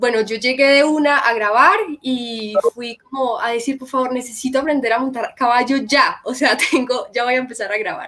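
Her voice high, a woman talks at a moderate pace with ordinary pitch variation. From Colombia, Medellín. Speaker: actress and psychologist. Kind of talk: live-stream interview.

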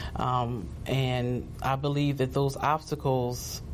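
A woman with an American accent speaks in a very deep, low pitch and a monotone, flat intonation. There is audible room echo. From New Jersey. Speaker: pastor. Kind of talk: testimony.

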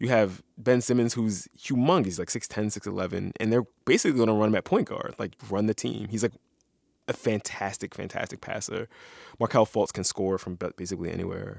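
A normal speaking voice with an American accent at a moderate pace and ordinary pitch variation, in a very clean recording with a silent background and a dry, close sound with no echo. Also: man, fairly low pitch for a man. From Philadelphia, US. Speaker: radio journalist and podcast host. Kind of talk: casual chat.

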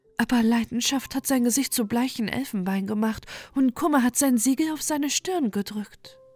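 Over background music, the voice has a soothing, calm tone, ordinary pitch variation, and a dry, close sound with no echo. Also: woman, high pitch for a woman. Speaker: audiobook narrator. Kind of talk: bedtime story reading aloud. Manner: slow, soft, soothing and calm, with a lulling storytelling rhythm.

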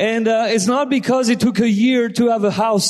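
A man speaks with a French accent and an animated tone. His pitch is extremely high. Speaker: visiting guest speaker. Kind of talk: sermon. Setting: church.

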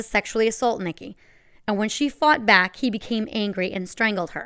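A woman with a normal speaking voice at a fairly high pitch, in a very clean recording with a silent background. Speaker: true crime podcast host. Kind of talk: true-crime narration, told as a scripted, gripping story with dramatic reveals.

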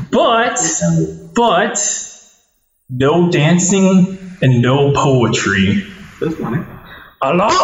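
Speaking very slowly with long, frequent pauses, a man with a high pitch makes very wide pitch swings against audible room echo. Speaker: comedy podcast host. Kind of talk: casual chat. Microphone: faulty cables, poor sound quality.

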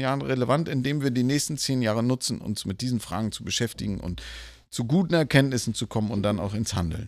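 A man's fairly quick speech comes through on a very clean recording with a silent background. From northern Germany, Lübeck. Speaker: church denomination leader. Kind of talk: interview conversation. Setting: live at a church conference. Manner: hesitant with filler sounds.

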